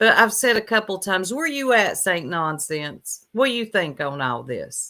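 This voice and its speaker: With a Southern US accent, the voice sounds bright and sharp and swings very widely in pitch. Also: woman, medium pitch for a woman. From US South. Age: 40s. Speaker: YouTube commentary livestreamer. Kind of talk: livestream commentary chat. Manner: slow.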